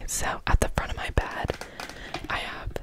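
A soft-spoken woman at a fairly slow pace, dry with no echo, against loud background noise. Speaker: room tour host. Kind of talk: casual vlog chat. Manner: soft ASMR voice close to mic. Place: home room.

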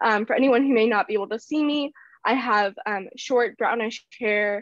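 A woman with an American accent speaks with ordinary pitch variation in a dry, close sound with no echo. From Ohio, US Midwest. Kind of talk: panel discussion. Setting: video call. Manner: halting, many fillers.

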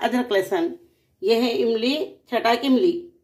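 Against a quiet background, a woman is speaking. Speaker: home cook vlogger. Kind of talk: cooking tutorial. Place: kitchen. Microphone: phone near.

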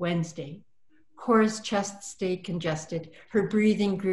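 A plain read-aloud passage

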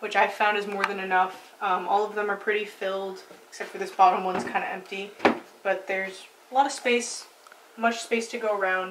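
There is noticeable background noise. Over it, a woman goes at a fairly quick pace. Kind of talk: casual vlog chat. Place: home room. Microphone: camera far.

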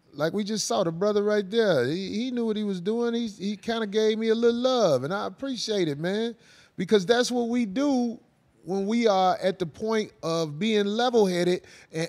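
Against a quiet background, a man talks at a high pitch. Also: ordinary pitch variation, moderate pace. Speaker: show host. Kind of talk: podcast discussion commentary. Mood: reflective, relaxed, some laughter. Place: studio. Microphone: handheld.

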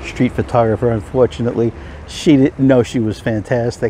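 A man speaks in a dry recording with no echo and light background noise. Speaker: film photography vlogger. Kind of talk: casual vlog chat. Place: open country. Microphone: phone near.

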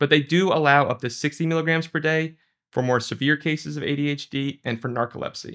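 A man talks at a medium pace, his pitch varying in an ordinary way, with quiet all around. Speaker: presenter. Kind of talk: lecture. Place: studio.

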